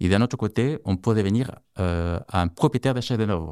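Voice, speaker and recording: In a dry, close sound with no echo and a silent background on a very clean recording, a man speaks at a moderate pace in a fairly low pitch with ordinary pitch variation. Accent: non-native. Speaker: tech co-founder of startup. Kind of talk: interview. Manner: halting, many fillers.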